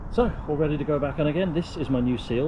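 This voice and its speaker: A man talks at a fairly high pitch. Noticeable background noise and audible room echo surround him. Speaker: car DIY youtuber. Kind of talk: tutorial. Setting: outdoors. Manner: casual.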